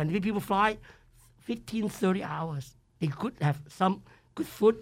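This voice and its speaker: Speaking at a moderate pace in a Cantonese accent, a man with a high pitch uses an animated tone. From Hong Kong. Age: 70s. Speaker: chef. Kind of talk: interview. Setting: studio.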